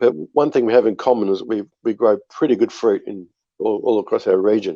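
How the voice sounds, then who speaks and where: In an Australian accent, a man speaks at a fairly quick pace. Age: 60s. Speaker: winery owner and winemaker. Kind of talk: podcast interview. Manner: hesitant, many fillers and repeats.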